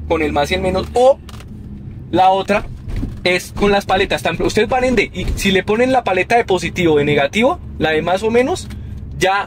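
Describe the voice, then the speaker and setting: A man at a moderate pace with ordinary pitch variation and long, frequent pauses, in a dry sound with no echo and light background noise. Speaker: car owner reviewer. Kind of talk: casual car review commentary. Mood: relaxed, pleased. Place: car. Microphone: camera far.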